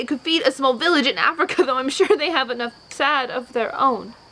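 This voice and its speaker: A high-pitched woman at a fairly quick pace, with ordinary pitch variation and noticeable background noise. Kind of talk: poetry reading.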